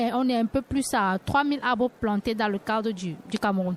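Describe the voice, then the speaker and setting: A woman with an unremarkable speaking voice talks at a fairly high pitch with ordinary pitch variation. The sound is dry and close, without echo. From Cameroon. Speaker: cooperative co-founder, environmental activist. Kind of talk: radio panel discussion. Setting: live radio set at a forum.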